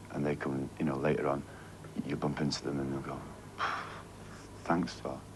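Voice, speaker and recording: A man talks with a strong Mancunian accent. His pace is very fast. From Manchester, northern England. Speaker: band singer. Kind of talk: TV interview. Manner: halting, repetitive.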